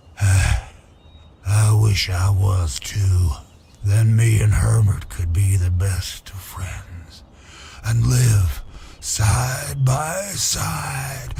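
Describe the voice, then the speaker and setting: Using a put-on character voice, a man speaks very slowly at a very deep, low pitch. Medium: video game. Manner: rambling, chuckling.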